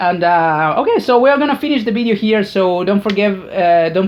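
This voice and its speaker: The speaker has a Spanish accent. The pace is moderate. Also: woman. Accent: non-native English, Spanish-speaking. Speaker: YouTuber. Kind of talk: casual monologue. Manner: halting, many fillers and repetitions.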